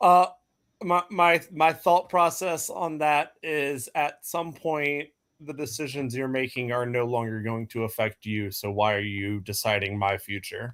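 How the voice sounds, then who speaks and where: A man with an unremarkable speaking voice talks at a medium pitch and fairly slow pace. His intonation is lively, and the recording is very clean with a silent background. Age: 20s. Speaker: communications director of veterans group. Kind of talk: panel discussion. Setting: live stream. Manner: casual.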